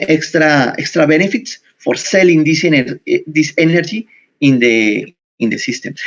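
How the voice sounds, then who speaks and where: In a Spanish accent, a man speaks with a fairly high pitch. His intonation is lively, though his pace is fairly slow. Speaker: university researcher. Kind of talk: conference presentation. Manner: halting.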